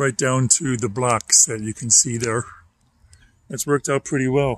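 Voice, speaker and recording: A man speaks at a moderate pace and medium pitch, with ordinary pitch variation. It is a normal speaking voice, recorded with a dry, close sound and no echo. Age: 60s. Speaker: vlogger, retired TV worker and school bus driver. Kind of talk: casual vlog monologue. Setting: outdoors by a fire pit in backyard. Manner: relaxed.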